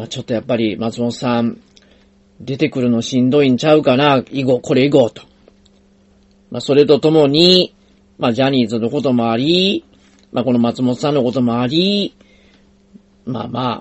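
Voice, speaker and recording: With a Kansai accent, a man talks with long, frequent pauses. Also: medium pitch for a man, ordinary pitch variation, moderate pace. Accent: Kansai Japanese. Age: 50s. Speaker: podcast host, investor and financial planner. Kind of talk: solo podcast monologue.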